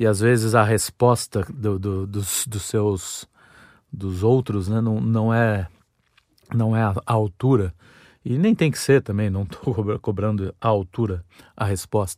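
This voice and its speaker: In a very clean recording with a silent background, a man with a fairly low pitch speaks at a very slow pace. His pitch variation is ordinary, and the sound is dry and close with no echo. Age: 40s. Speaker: podcast host. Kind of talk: solo monologue, casual storytelling. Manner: halting, repeated words.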